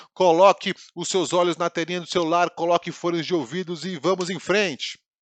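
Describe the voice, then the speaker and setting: Speaking at a fairly quick pace, a man with a high voice sounds animated, in a dry, close recording with no echo. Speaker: Bible teacher. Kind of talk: online Bible class lesson. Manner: fast.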